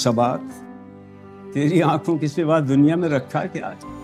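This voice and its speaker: With music in the background, a man talks in a fairly even intonation. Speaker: actor and reciter. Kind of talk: poetry reading. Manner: emotional, soulful.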